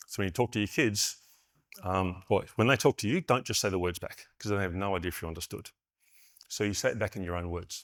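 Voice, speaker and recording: Very clean with a silent background, the recording has a man speaking very fast in an Australian accent, fairly low in pitch with ordinary pitch variation. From Western Australia. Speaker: conference keynote speaker, network engineer. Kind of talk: keynote talk. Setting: stage with audience.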